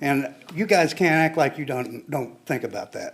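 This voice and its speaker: A man speaks with an American accent at a moderate pace. His fairly high pitch shows ordinary pitch variation. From Kansas (Pittsburg). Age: 60s. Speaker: public commenter. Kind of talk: public comment at city meeting. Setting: city commission meeting.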